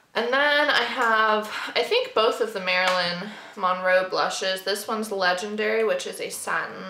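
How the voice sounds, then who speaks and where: A woman speaks at a moderate pace. Room echo is audible, and there is noticeable background noise. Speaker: beauty youtuber. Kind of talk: makeup collection review. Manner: casual, filler-heavy.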